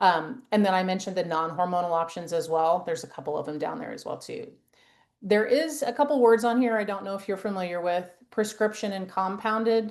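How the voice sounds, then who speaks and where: A woman's ordinary speaking voice at a fairly quick pace, medium in pitch, with ordinary pitch variation and big swings in loudness. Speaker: women's health nurse practitioner. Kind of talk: presentation. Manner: casual, filler-heavy.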